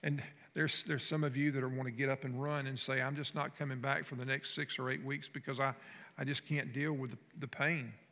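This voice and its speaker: In a Southern US accent, the voice has a bright, sharp tone and a monotone, flat intonation at a very fast pace, on a very clean recording with a silent background. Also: man, medium pitch for a man. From North Florida. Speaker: pastor. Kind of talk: sermon. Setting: church. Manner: conversational.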